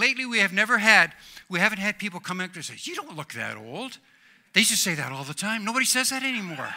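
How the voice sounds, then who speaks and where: Very fast talk in a raised, projected voice, bright and sharp in tone, with lively intonation. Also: man. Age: 60s. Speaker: pastor. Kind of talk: sermon. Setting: church.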